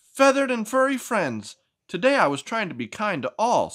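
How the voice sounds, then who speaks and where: In a very clean recording with a silent background, a man puts on a character voice at an extremely high pitch and a moderate pace. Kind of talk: read-aloud picture book voice. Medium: read story.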